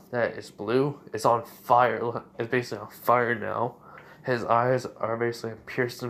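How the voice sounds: The audio features a natural reading voice.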